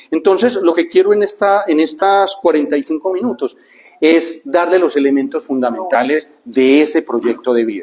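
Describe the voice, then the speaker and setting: A high-pitched male voice with lively intonation at a moderate pace, noticeable background noise behind it. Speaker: speaker on neuroscience and life planning. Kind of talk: talk to a group.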